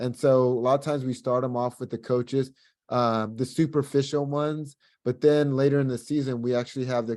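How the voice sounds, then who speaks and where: A man speaks at a fairly quick pace with a medium pitch and a dark, mellow tone. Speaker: basketball coach. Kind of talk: presentation. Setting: video call. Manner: fast; animated.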